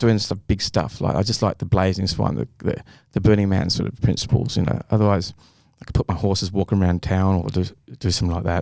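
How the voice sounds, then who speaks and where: With an Australian accent and vocal fry, a man talks at a very fast pace on a very clean recording with a silent background. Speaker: artist and inventor. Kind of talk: casual chat. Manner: halting.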